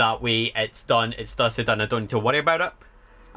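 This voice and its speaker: With a Scottish accent, a man speaks in a bright, sharp tone with lively intonation. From Scotland. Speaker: streamer. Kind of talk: casual livestream chat.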